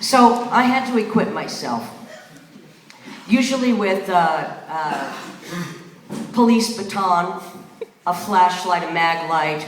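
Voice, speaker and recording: Speaking with an American accent and lively intonation, a woman goes at a very slow pace with long, frequent pauses over noticeable background noise. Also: medium pitch for a woman. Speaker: spoken word performer. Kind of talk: live spoken word performance. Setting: live venue, audience. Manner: profane, confrontational.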